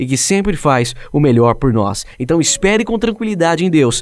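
Very wide pitch swings and a moderate pace in a man's fairly high voice. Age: 20s. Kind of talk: devotional monologue.

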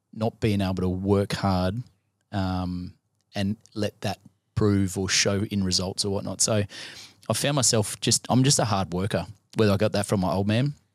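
A man with an Australian accent, fairly low in pitch, at a moderate pace with fairly even intonation, in a very clean, dry, close recording with no echo and a silent background. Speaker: sports chaplain. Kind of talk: casual chat.

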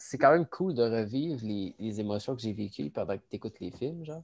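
With a Quebec accent, a man speaks at medium pitch and a fairly quick pace, using lively intonation. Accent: Québécois French. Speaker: cégep student, podcast co-host. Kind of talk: casual chat.

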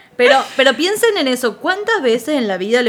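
A woman speaks with very wide pitch swings. Noticeable background noise runs behind her. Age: 40. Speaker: psychologist. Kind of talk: casual chat.

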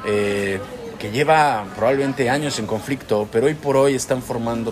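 Ordinary pitch variation from a man, with noticeable background noise behind him. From Mexico. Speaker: podcast co-host, vlogger. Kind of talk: casual chat.

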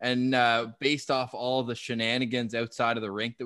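Recorded with a dry, close sound, no echo and a quiet background, a man with a Canadian accent speaks at a medium pitch in a bright, sharp tone. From Ottawa, Canada. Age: 20s. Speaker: sports podcaster. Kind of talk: casual chat.

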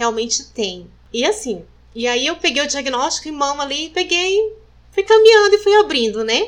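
Her high-pitched voice moves through very wide pitch swings. The woman keeps a moderate pace. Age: 40s. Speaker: breast cancer survivor. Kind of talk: testimony.

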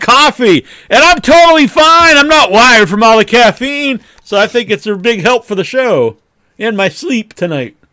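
A man's raised, projected voice rings out at an extremely high pitch with a bright, sharp tone and lively intonation, in a dry, close sound with no echo. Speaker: podcast host. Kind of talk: casual chat. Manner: loud.

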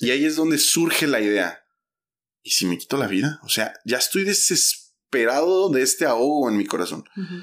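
This man's pitch swings very widely. The recording is very clean, with a silent background. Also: fairly high pitch for a man, moderate pace. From Mexico, Oaxaca. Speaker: church podcast host. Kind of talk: casual interview.

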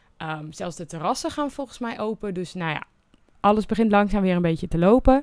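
A woman at a medium pitch speaks at a fairly quick pace with lively intonation and big swings in loudness. The recording is very clean, with a silent background. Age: 20s. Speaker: podcast host sharing concussion recovery experience. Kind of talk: solo podcast monologue. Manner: occasionally stumbling over words.

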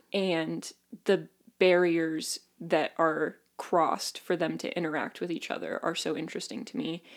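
The speaker talks at a fairly slow pace with vocal fry and ordinary pitch variation. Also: woman. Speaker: podcast co-host. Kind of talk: casual chat.

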